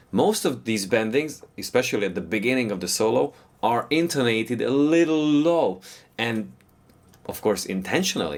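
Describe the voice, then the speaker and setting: A man's medium-pitched voice with a non-native accent, lively intonation and a moderate pace. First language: not English. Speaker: guitar teacher. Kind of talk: tutorial.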